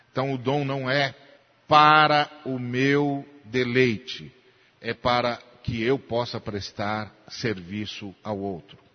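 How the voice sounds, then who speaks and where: A very slow pace from a man, pitch varying in an ordinary way. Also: medium pitch for a man. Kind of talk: sermon, expository Bible teaching in a church.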